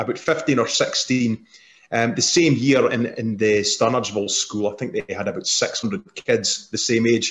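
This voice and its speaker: Somewhat breathy and at a medium pitch, a man speaks with a strong Scottish accent and lively intonation. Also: moderate pace. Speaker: parent on a twinning panel. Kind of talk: panel discussion. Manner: halting, many repeats.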